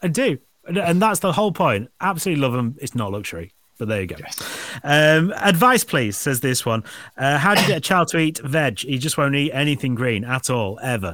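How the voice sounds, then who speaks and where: A man talks with a Yorkshire accent in a bright, sharp tone. His pitch swings very widely. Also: fairly high pitch for a man, fairly quick pace. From northern England. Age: 40s. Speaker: podcast host. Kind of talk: casual chat.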